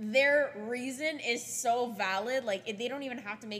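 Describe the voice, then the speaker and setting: A woman talks with ordinary pitch variation as noticeable background noise carries on. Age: 20s. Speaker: podcast host. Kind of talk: casual chat.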